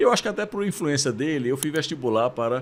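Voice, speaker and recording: This man's voice has a fairly high pitch. His intonation is lively. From Brazil, Pernambuco (Recife). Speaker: university rector. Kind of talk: interview conversation. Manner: hesitant, with fillers.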